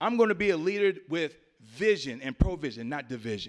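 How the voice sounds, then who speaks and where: Animated in tone, a man talks at a moderate pace with very wide pitch swings. The recording is very clean, with a silent background. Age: 60s. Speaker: political candidate, navy veteran. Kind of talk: campaign speech at forum. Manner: animated, preacher-like.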